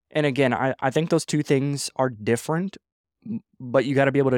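In a dry, close sound with no echo, a man talks at a fairly quick pace with ordinary pitch variation. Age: 20s. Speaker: entrepreneur and podcast host. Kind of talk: casual solo monologue. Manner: animated; halting.

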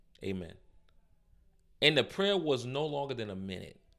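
A man with an American accent speaks at a medium pitch and moderate pace. His tone is bright and sharp, with very wide pitch swings. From New York City, Harlem. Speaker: pastor. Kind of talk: casual chat.

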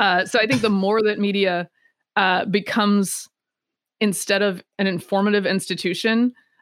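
A woman talks at a moderate pace in a plain, everyday voice, on a very clean recording with a silent background. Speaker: political commentator. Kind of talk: casual interview.

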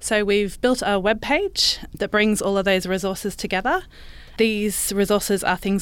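Speaking at a fairly quick pace, a woman with an Australian accent talks at a medium pitch. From Brisbane, Australia. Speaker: librarian. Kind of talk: interview.

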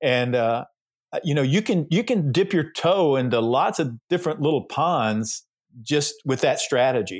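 Speaking in a plain, everyday voice with an American accent, a man with fairly high pitch uses lively intonation at a moderate pace and very even loudness on a very clean recording with a silent background. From US South, Georgia. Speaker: pastor. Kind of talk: casual interview.

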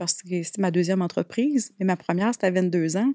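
A woman with a Quebec accent speaks at a fairly quick pace with fairly even intonation. The recording is very clean with a silent background and a dry, close sound with no echo. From Quebec, Abitibi. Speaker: speaker and wellness entrepreneur. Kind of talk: casual interview.

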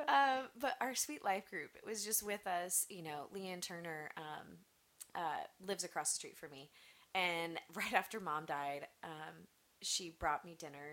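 A woman with a plain, everyday voice speaks at a moderate pace, her pitch fairly low with ordinary variation. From US Midwest, Nebraska. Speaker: church member, mother. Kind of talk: casual interview chat. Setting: studio with headphones.

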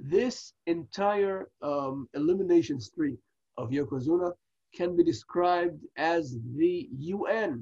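Speaking very slowly with an Israeli accent, a man with a high voice uses lively intonation in a dry, close sound with no echo. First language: Hebrew. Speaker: wrestling podcast co-host. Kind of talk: casual review chat. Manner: halting, many fillers.

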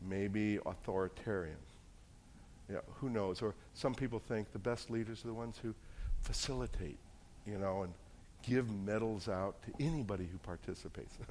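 With audible room echo around him, a man speaks at a moderate pace in a fairly low voice with ordinary pitch variation and long, frequent pauses. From New Jersey. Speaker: pastor. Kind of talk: sermon.

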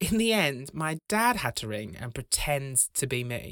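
A man with a British accent speaks in a bright, sharp, animated tone with lively intonation, the sound dry and close with no echo. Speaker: comedian and podcast host. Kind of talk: scripted comedy monologue. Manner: animated, jokey.

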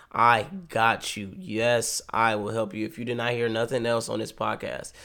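In a very clean recording with a silent background, a man with an American accent uses an ordinary speaking voice, medium in pitch, at a moderate pace with fairly even intonation. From Ohio, Cleveland. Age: 20s. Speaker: college student. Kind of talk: sermon; casual chat.

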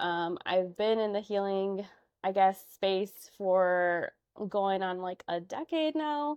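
A woman with a Chicago accent talks at a very slow pace and a medium pitch. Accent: Chicago American English. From Chicago, Albany Park. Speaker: social worker and therapist. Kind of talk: interview.

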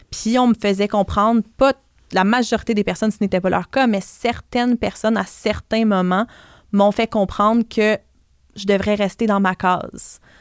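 On a dry, close recording with no echo, a woman talks at a fairly slow pace in a monotone, flat intonation. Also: medium pitch for a woman, very clean recording, silent background. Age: 30s. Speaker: blogger and personal finance author. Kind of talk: podcast interview.

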